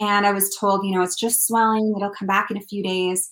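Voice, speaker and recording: At a fairly quick pace, a woman talks in an unremarkable speaking voice. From British Columbia, Canada. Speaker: country singer-songwriter. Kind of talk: casual interview chat. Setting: video call from home.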